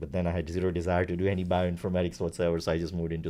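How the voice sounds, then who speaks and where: Speaking at a very fast pace, a man with a Gujarati accent has a dark, mellow tone. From India (Gujarat). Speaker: startup founder. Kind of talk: interview. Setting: company facility.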